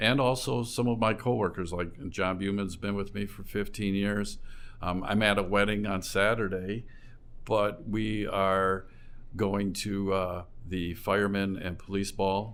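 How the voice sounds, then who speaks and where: Audible room echo follows a man who speaks at a fairly slow pace with fairly even intonation. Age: 60s. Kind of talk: interview.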